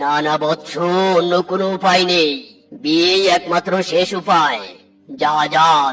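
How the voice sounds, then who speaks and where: A cartoonish character voice at a fairly slow pace. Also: man, high pitch for a man, ordinary pitch variation. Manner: pompous, mock-solemn.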